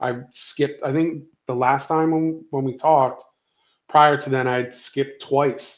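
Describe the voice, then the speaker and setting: This is a plain, everyday voice at a moderate pace. Its pitch varies in an ordinary way. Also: man. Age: 50s. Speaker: podcast guest discussing weight loss. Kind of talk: casual chat.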